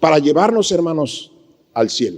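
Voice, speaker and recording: This man's voice sits fairly high and moves along at a moderate speed. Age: 60s. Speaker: pastor. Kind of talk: sermon.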